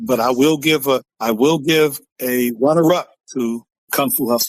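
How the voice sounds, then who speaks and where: A man's animated, medium-pitched voice with an American accent, dry and close with no echo. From Southern California (Compton area). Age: 60s. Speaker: former football player and actor. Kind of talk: casual interview chat. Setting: podcast interview. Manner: animated, repetitive.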